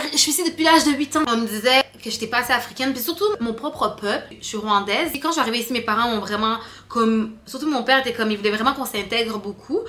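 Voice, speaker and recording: A woman speaks at a very fast pace with a high pitch. There is noticeable background noise. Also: ordinary pitch variation. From Quebec, Canada (Rwandan-born, arrived at 8). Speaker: vlogger. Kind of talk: casual chat to camera. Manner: careful standard French on camera.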